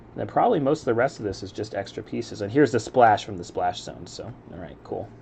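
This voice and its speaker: Speaking at a fairly quick pace, a man with a fairly low pitch and an American accent has a relaxed tone. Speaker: Lego building streamer. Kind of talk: casual live-stream commentary while building. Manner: relaxed, chill.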